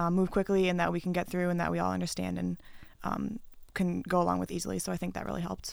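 A woman talks at a fairly quick pace in a very clean recording with a silent background. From US Midwest, Wisconsin. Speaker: college basketball player. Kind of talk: interview. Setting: studio. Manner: hesitant, many fillers.

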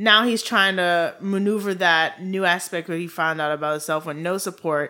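The speaker has a Haitian accent and talks at a moderate pace with ordinary pitch variation. The recording is very clean, with a silent background. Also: woman. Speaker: true crime podcast co-host. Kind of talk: casual chat.

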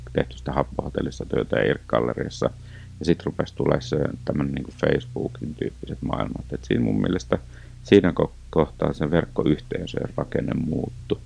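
There is noticeable background noise behind this man. His pitch is very deep and low, and his pace is moderate. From eastern Finland, North Karelia. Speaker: digital youth work expert. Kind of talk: interview.

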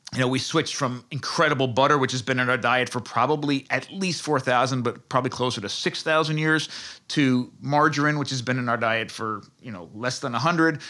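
Bright, sharp male voice at a medium pitch with ordinary variation, a fairly quick pace and hardly any pauses, on a very clean recording with a silent background. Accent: American. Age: 40s. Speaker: food researcher and author. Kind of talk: interview.

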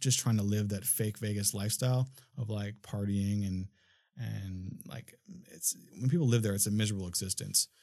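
A man with a dark, mellow tone and ordinary pitch variation speaks on a very clean recording with a silent background. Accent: American. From Minnesota, US. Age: 30s. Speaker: filmmaker and studio owner. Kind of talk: casual chat. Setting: studio.

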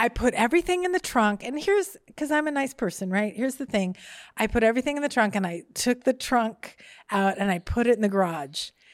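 Animated in tone, a woman speaks at a fairly high pitch with very wide pitch swings on a very clean recording with a silent background. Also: fairly quick pace. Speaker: comedian. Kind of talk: storytelling. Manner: fast.

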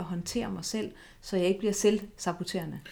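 A woman in a plain, everyday voice with fairly even intonation. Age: 40s. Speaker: eating disorder therapist. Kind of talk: interview.

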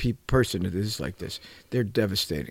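Recorded very cleanly against a silent background, a man speaks at a fairly low pitch with vocal fry. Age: 70s. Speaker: coach and mentor, former psychotherapist. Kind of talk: radio talk show interview. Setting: radio studio.

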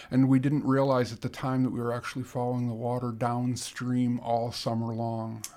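A man with an American accent at medium pitch, monotone and flat, at a moderate pace with hardly any pauses. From Chicago suburbs. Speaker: wilderness canoeist. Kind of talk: interview. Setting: studio.

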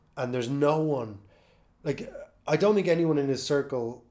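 A man speaks with an Irish accent at a moderate pace. His tone is dark and mellow, with ordinary pitch variation. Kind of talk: casual chat.

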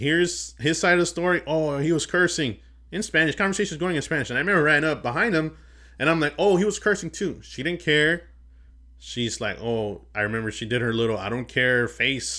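A man speaks loudly and at a fairly quick pace, his fairly high voice bright and sharp with lively intonation, in a very clean recording with a silent background. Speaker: podcast host. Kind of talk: casual chat.

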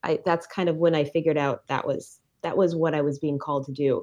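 In an Upper Midwest accent, a woman talks at a fairly quick pace. The background is quiet. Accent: Upper Midwest American. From rural Minnesota. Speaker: biology teacher. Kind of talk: casual interview.

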